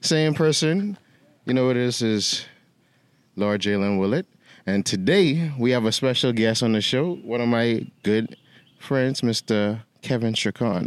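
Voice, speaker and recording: A man with a Bahamian accent, medium pitch, fairly slow pace, lively intonation and very even loudness. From the Bahamas. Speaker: podcast host. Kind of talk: casual interview chat.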